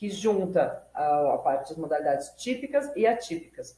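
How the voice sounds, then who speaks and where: A woman at a moderate pace. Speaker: law student and YouTube educator. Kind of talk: tutorial. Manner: casual, self-correcting.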